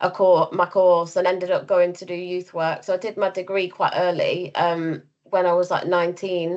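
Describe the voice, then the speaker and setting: A woman speaks at a moderate pace in a medium pitch. Her delivery is monotone and flat, with hardly any pauses. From East Midlands, England (Rutland), then Blackburn from 14. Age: 30s. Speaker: youth worker, sector leader. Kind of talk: podcast interview. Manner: casual, many fillers.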